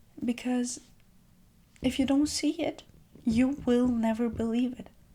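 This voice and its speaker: Soft-spoken and high-pitched, a woman talks with a dark, mellow tone and fairly even intonation. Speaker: self-care video creator. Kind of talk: gentle reflective monologue. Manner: calm.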